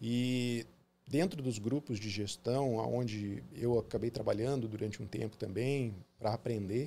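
The man's voice is somewhat breathy. Its medium pitch shows ordinary variation. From southern Brazil (Paraná, born Porto Alegre). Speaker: dentist. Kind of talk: interview.

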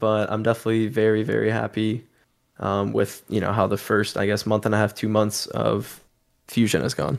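On a very clean recording with a silent background, a man speaks at a moderate pace with fairly even intonation and a fairly low pitch. He has an unremarkable speaking voice. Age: 20s. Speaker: esports player and content creator. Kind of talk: casual chat.

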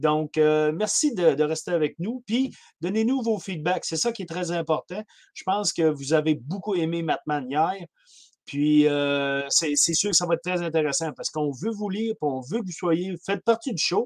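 This man talks in a Quebec accent, with a high pitch and lively intonation at a fairly slow pace. The sound is dry and close, with no echo. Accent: Québécois French. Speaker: hockey podcast co-panelist. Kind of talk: casual chat.

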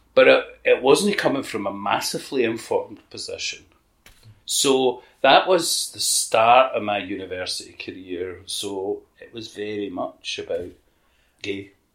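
With a Scottish accent, a man speaks fairly slowly, his loudness swinging widely. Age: 50s. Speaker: LGBTQ activist. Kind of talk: interview reminiscence.

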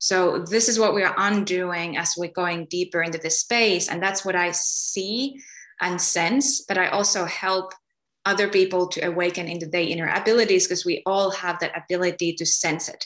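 This woman speaks with a Finnish accent at a medium pitch. Her pace is moderate and her intonation fairly even. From Finland. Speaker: spiritual healer. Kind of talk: interview.

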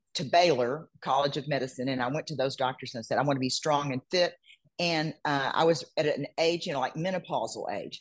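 This woman's voice is very deep and low in pitch, with ordinary pitch variation. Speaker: bodybuilding competitor. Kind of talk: casual chat.

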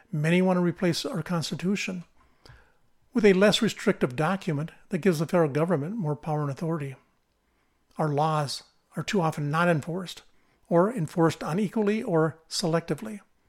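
A man with an American accent, high-pitched, fairly quick, with ordinary pitch variation and long, frequent pauses, on a very clean recording with a silent background. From central Minnesota, US Midwest. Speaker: political podcaster. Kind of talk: scripted monologue.

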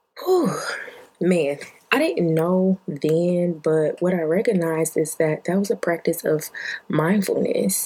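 Over noticeable background noise, a woman with an American accent speaks fairly slowly with fairly even intonation in a fairly low voice. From Detroit, Michigan. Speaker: podcast host. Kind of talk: casual monologue.

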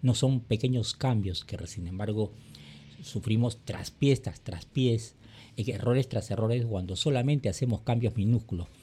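At a moderate pace, a man speaks at medium pitch with a dark, mellow, somewhat breathy tone and ordinary pitch variation. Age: 60s. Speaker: podcast host, personal development. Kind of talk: monologue commentary.

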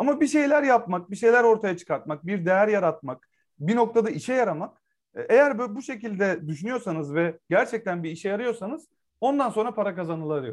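A man speaks in a high voice with lively intonation against a quiet background. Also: fairly quick pace. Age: 30s. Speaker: startup co-founder. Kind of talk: podcast interview.

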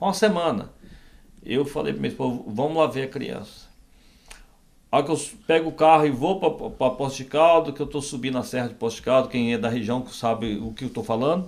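A man with a fairly high voice and lively intonation talks at a fairly quick pace, broken by long, frequent pauses. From Brazil, southern Minas Gerais (rural). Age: 60s. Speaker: pastor. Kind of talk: interview, testimony.

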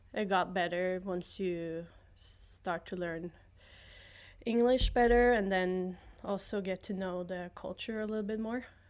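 A woman's medium-pitched voice with a Norwegian accent, a fairly slow pace, fairly even intonation and big swings in loudness, in a very clean recording with a silent background. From Norway, near Oslo. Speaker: former college soccer player. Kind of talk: casual interview. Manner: laughs often.

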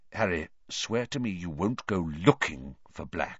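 A man uses a put-on character voice, low-pitched with a slightly husky edge. He talks at a fairly slow pace with lively intonation.

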